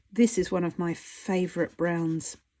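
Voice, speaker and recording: A woman speaks at a medium pitch with a dark, mellow tone and an Australian accent. The recording is very clean, with a silent background. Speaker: artist and art teacher. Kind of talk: tutorial. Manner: casual, rambling with fillers.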